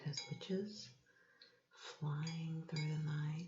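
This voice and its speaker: Soft-spoken whispering unfolds at a very slow pace with music in the background. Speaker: ASMR creator. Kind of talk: ASMR show-and-tell. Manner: whispered, soft-spoken.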